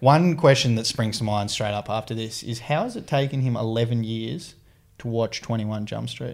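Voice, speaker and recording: With an Australian accent, a man speaks at a moderate pace and a medium pitch with ordinary pitch variation. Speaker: sports reporter and podcast co-host. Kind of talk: casual chat. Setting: studio in Sydney.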